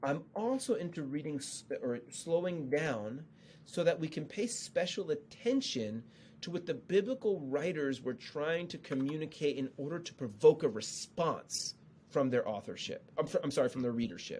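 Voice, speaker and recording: A man speaks with a northeastern US accent at a fairly high pitch. His intonation is lively. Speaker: Old Testament scholar and author. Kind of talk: podcast interview about the Bible. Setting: podcast. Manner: fast.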